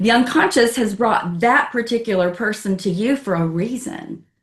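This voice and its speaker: This woman's voice is fairly high in pitch and somewhat breathy. Its pitch moves in an ordinary way. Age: 70s. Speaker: astrologer and author. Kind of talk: interview conversation.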